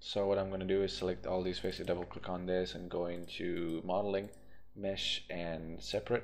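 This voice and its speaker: A man speaks at a moderate pace in a very deep, low voice. His intonation is flat and monotone. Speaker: VFX tutorial creator. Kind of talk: software tutorial. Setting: screen recording voiceover. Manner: casual, hesitant with fillers.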